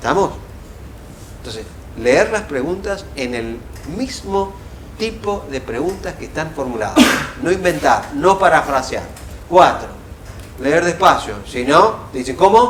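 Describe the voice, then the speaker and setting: Amid noticeable background noise and audible room echo, a man with a Rioplatense accent talks at a high, fairly slow pace, his pitch swinging very widely and his loudness shifting greatly, broken by long, frequent pauses. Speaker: professor. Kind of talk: lecture.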